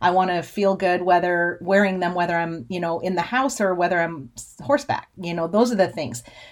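A woman with a normal speaking voice talks at a fairly quick pace and fairly low pitch, with hardly any pauses, ordinary pitch variation and big swings in loudness. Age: 40s. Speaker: podcast host and cattle rancher. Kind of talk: casual monologue.

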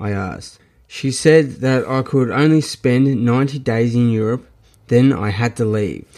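A man with a strong Australian accent talks at a fairly slow pace, his medium pitch showing ordinary variation. The tone is dark and mellow, and the recording is very clean with a silent background. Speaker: podcast host and memoir author. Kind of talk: reading aloud from own memoir, with casual chat intro. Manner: casual, with fillers and hesitations.

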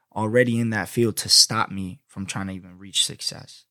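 This man speaks with a New York accent, an animated tone and a bright, sharp tone, with ordinary pitch variation. The recording is very clean, with a silent background, and the sound is dry and close with no echo. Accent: New York-like American. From Florida, US. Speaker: podcast host. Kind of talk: casual solo podcast monologue. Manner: animated, slangy; laughs often.

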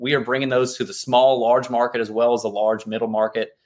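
This man has an ordinary speaking voice at medium pitch. His intonation is fairly even. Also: very clean recording, silent background. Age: 30s. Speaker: insurance broker. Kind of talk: casual interview.

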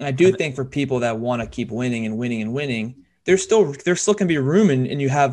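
The speaker has an ordinary speaking voice and a fairly quick pace with lively intonation. The background is quiet. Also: man. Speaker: podcast host, financial advisor. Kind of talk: casual chat, financial talk.

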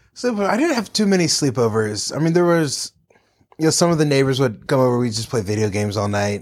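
Talking at a very fast pace with an American accent, a man uses medium pitch and very wide pitch swings. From North Carolina. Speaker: improv comedian and actor. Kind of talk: casual chat.

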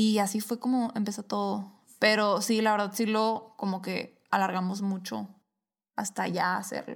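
A woman at a medium pitch and fairly slow pace, with monotone, flat intonation. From Sonora, Mexico. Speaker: podcast co-host. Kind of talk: casual chat.

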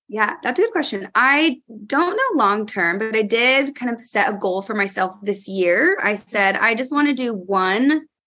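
A woman with a normal speaking voice, fairly high pitch, lively intonation and a fairly slow pace. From California. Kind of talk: casual chat.

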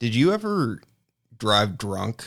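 Vocal fry stands out on a very clean recording with a silent background. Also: man. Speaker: podcast host. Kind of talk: casual chat.

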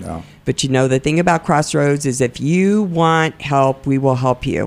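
A woman talks at a moderate speed, her pitch varying in an ordinary way, in a very clean recording against a silent background. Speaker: podcast host. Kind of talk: interview. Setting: studio.

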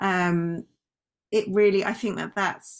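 A woman with a British accent speaks at a medium pitch in fairly even intonation, on a very clean recording with a silent background. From Britain. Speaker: company founder and former doctor. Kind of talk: interview.

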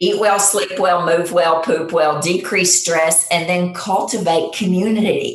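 In a normal speaking voice, a woman talks at a fairly slow pace with a fairly low pitch, fairly even intonation and very even loudness. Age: 50s. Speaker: nurse practitioner. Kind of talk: interview.

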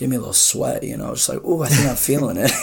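A man speaks over noticeable background noise. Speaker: podcast guest. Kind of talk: casual chat.

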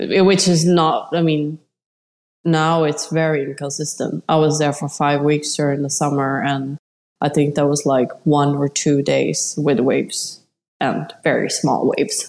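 Fairly slow and with fairly even intonation, a woman speaks in a Swedish accent at a very deep, low pitch. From Sweden. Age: 40s. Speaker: amateur surfer. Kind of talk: interview. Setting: remote call.

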